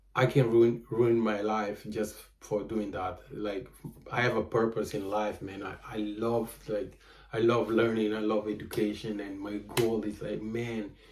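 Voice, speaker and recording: A man's fairly low, monotone voice with flat intonation at a fairly slow pace, with audible room echo. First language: Portuguese. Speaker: vlogger and photographer. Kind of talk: casual monologue vlog. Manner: halting, many fillers.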